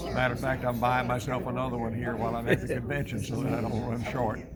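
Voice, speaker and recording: Music plays in the background as a man speaks at a fairly quick pace with audible room echo. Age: 70s. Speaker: radiologist giving a product testimonial. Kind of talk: testimonial interview. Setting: at a convention.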